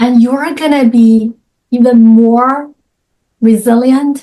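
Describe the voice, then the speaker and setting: A woman with a Chinese accent speaks at a very slow pace in a fairly high pitch. Her tone is dark and mellow, and her intonation stays fairly even. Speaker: author and coach. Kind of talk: interview.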